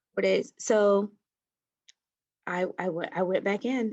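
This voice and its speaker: A soft-spoken woman at medium pitch. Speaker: COVID-19 survivor. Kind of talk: interview. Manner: halting.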